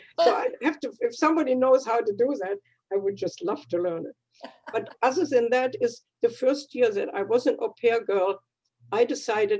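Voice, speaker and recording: A woman with a German accent speaks at a moderate pace, high in pitch, with lively intonation. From Germany. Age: 80s+. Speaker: retired dietitian, club member. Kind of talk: personal life story in a club meeting. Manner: halting.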